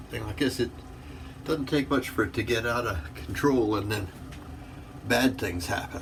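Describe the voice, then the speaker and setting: At a moderate pace and medium pitch, a man talks with ordinary pitch variation amid audible room echo. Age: 60s. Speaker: wet shaving video creator. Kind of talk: casual tutorial.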